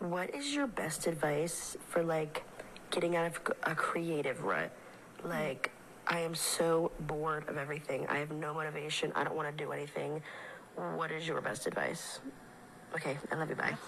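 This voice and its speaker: A woman with a very deep, low pitch speaks in a monotone, flat way at a moderate pace, with audible room echo and noticeable background noise. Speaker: listener leaving voice message. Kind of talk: voice message. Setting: recorded voice message.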